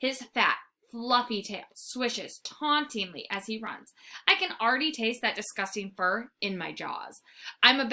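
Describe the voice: The voice is plain reading aloud. Pitch varies in an ordinary way against a quiet background.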